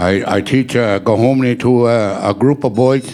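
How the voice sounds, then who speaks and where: A man speaks with fairly even intonation while noticeable noise sits in the background. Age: 70s. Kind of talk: panel talk, personal testimony. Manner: halting, many fillers.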